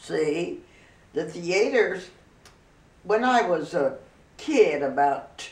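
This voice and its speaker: A woman with a Midwestern American accent at a very slow pace, with audible room echo and noticeable background noise. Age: 90s. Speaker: grandmother sharing memories. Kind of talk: casual interview reminiscence.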